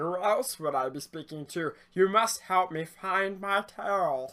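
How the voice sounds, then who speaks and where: A man puts on a character voice with a high pitch. He talks at a fairly slow pace. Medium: actual play. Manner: formal, old-fashioned phrasing.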